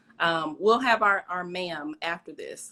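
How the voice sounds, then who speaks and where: A woman's fairly low voice with a Southern accent, a bright, sharp tone, ordinary pitch variation, and a fairly slow pace. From US South, East St. Louis area. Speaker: interview host. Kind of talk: casual interview chat.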